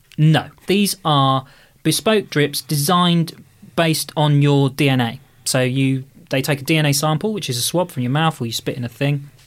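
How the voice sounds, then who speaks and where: On a very clean recording with a silent background, a man with an English accent speaks at a fairly high pitch and a moderate pace. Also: ordinary pitch variation. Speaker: podcast contributor. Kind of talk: casual chat.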